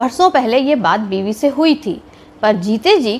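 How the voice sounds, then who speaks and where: This woman's voice sits high in pitch. It swings across a very wide pitch range. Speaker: storyteller. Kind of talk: storytelling narration of a short story, read aloud.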